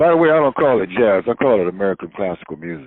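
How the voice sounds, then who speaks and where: In a Southern US accent, a man speaks with a fairly low pitch. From North Carolina, Wilmington. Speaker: radio announcer and jazz writer. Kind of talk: interview.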